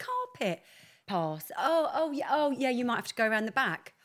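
An animated woman with a British accent, high-pitched, fairly quick, with very wide pitch swings. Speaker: podcast co-host. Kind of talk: casual chat. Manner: brash.

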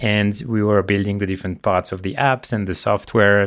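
On a very clean recording with a silent background, a man in a French accent speaks at a moderate pace with a fairly low pitch and monotone, flat intonation. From France, Le Mans. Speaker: tech startup co-founder and CEO. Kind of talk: interview.

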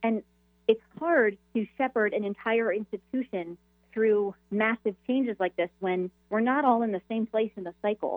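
Using a plain, everyday voice, a woman speaks at a moderate pace, her fairly high pitch showing ordinary variation. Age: 30s. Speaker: Episcopal priest and author. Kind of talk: radio interview.

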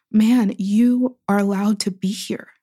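A woman with an American accent speaks at a fairly high pitch in a dark, mellow tone. The recording is very clean, with a silent background. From US, Pittsburgh. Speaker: writer and poet. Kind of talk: interview conversation.

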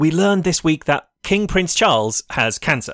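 On a very clean recording with a silent background, a man with an English accent talks at a moderate pace, his fairly high, bright, sharp voice swinging very widely in pitch, the sound dry and close with no echo. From England. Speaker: podcast co-host. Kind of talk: comedic news podcast.

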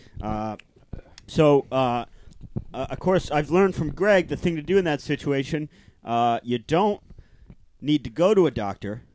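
Pausing long and often, a man speaks at a fairly slow pace in a fairly high voice, with an animated tone and lively intonation. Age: 30s. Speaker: podcast host. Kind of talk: casual comedy chat podcast. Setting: home studio in a bedroom. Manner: animated, joking, laughs often.

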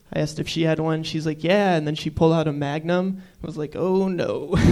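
Noticeable background noise sits behind this man's fairly high voice. He talks at a fairly quick pace with ordinary pitch variation. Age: 20s. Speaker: comedian. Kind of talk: stand-up. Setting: stage with audience.

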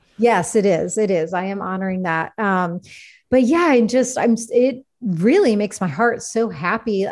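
Lively intonation at a moderate pace in an unremarkable speaking voice. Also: woman, fairly high pitch for a woman. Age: 40s. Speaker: shaman and podcast host. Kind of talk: casual interview chat; card reading. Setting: video call.

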